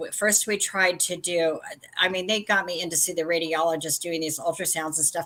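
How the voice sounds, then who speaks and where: The tone is bright and sharp, and the intonation fairly even. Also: woman. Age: 60s. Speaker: vintage seller and crafter. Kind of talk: casual chat.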